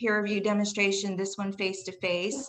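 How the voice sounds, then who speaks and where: Against noticeable background noise, a woman with a Southern US accent talks at a moderate pace in a medium pitch. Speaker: college English instructor. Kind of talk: faculty presentation. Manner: casual, with fillers.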